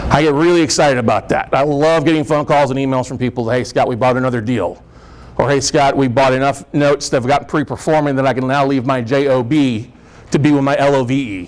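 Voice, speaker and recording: Delivered at a very fast pace, the speech keeps a fairly even intonation. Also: man, fairly high pitch for a man. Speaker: real estate note investor and speaker. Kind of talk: seminar presentation. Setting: meeting room with audience. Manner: loud.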